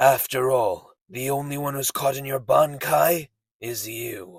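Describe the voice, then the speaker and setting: Raspy and medium in pitch, a man puts on a cartoonish character voice. He talks at a fairly slow pace. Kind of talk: anime dub character impression.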